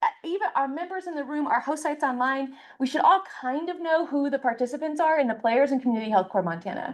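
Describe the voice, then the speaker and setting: A high-pitched woman at a very fast pace, with very wide pitch swings, over a quiet background. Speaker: program coordinator. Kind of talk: orientation presentation.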